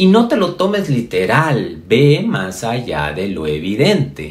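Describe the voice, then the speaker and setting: A man's very slow delivery with vocal fry and very wide pitch swings. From Mexico, Yucatán. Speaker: spiritual speaker. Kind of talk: motivational spiritual talk. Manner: halting, many fillers and repetitions.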